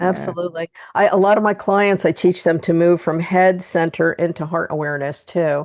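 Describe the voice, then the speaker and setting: A woman with an American accent has an unremarkable speaking voice, pitched fairly low with fairly even intonation. She talks at a fairly quick pace with hardly any pauses. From New Jersey, US. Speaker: podcast host and energy healer. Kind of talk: interview conversation.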